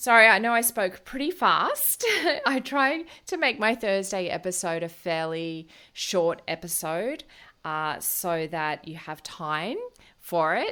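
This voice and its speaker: An Australian accent marks this woman's bright, sharp voice at medium pitch with lively intonation. She speaks very slowly on a very clean recording with a silent background. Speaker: naturopath and podcast host. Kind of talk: solo podcast talk. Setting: at home.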